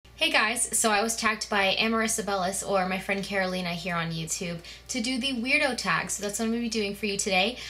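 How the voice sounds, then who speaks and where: A woman talks at a very fast pace and medium pitch, with ordinary pitch variation and hardly any pauses. Noticeable background noise and audible room echo are present. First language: Spanish. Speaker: beauty vlogger. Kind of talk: casual chat.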